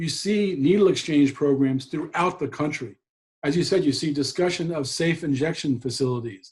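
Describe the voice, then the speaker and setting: Somewhat breathy and fairly high in pitch, a man speaks at a moderate tempo. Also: ordinary pitch variation. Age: 60s. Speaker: drug policy advocate and attorney. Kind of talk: interview. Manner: animated.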